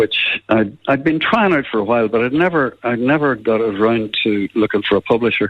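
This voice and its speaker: In a Northern Irish accent, the speaker goes at a fairly quick pace with hardly any pauses, ordinary pitch variation and very even loudness. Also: man, medium pitch for a man. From Northern Ireland, Belfast. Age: 80s+. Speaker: musician. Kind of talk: radio interview.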